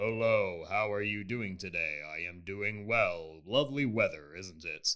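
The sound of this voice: Putting on a character voice, a man booms at a fairly low pitch and a moderate pace, with big swings in loudness.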